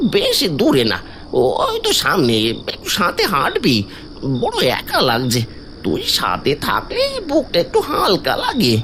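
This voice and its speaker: A cartoonish character voice speaks at a fairly slow pace. Clear background noise can be heard. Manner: soft, familiar, creeping.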